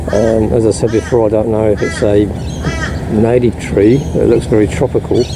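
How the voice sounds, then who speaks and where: The speaking pace is moderate. Behind it, noticeable background noise can be heard. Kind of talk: casual nature commentary. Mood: admiring, relaxed. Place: street. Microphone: phone near.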